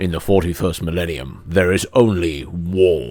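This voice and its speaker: Putting on a character voice, a man sounds strained and speaks at a moderate pace with a very deep, low pitch. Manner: dramatic, strained.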